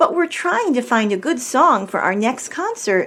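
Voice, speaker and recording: Putting on a character voice, a woman speaks at a high pitch. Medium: read story.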